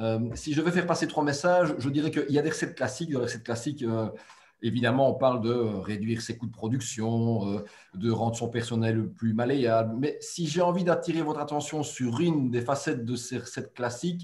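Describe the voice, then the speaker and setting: A man speaks at a fairly quick pace, somewhat breathy. His pitch is medium, with ordinary variation. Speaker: webinar moderator. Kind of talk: webinar introduction. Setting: webinar.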